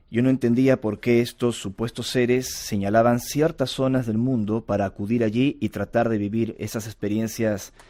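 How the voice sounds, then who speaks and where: With a Lima accent, this voice moves at a moderate pace with fairly even intonation, on a very clean recording with a silent background. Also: man, medium pitch for a man. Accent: Lima Peruvian Spanish. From Peru, Lima. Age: 40s. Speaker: UFO contactee and researcher. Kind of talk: interview.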